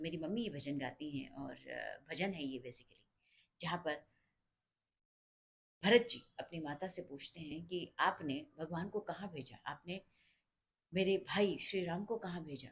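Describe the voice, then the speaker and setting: A woman talks in a somewhat breathy voice, leaving long, frequent pauses. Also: ordinary pitch variation. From India, Uttar Pradesh (Awadh region). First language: Awadhi (mixed with Bhojpuri) (speaking Hindi). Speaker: religious storyteller explaining a devotional song. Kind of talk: informal explanatory storytelling.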